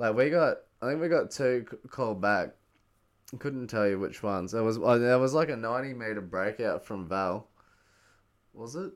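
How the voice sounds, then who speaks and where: In an Australian accent, a man speaks at medium pitch with lively intonation and long, frequent pauses. The recording is very clean, with a silent background. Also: moderate pace. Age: 20s. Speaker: podcast host. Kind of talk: casual chat.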